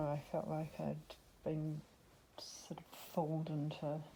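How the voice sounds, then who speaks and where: A woman speaks with a very deep, low pitch and a dark, mellow tone. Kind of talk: casual talk to camera. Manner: monotone.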